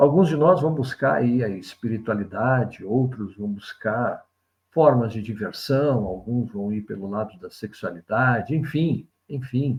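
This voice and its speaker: At a fairly slow pace, a man talks with a somewhat breathy voice. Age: 60s. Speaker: spiritual commentator, video essayist. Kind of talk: reflective monologue. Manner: conversational, reflective.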